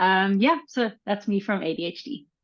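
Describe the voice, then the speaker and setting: A woman speaks with a South African accent. Her pitch variation is ordinary. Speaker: educational psychologist and coach trainer. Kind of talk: live online panel discussion. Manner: halting, many fillers.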